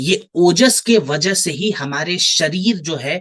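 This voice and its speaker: With ordinary pitch variation, the voice comes through in a dry, close sound with no echo. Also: man. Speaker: product trainer. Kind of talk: online training session. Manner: slow.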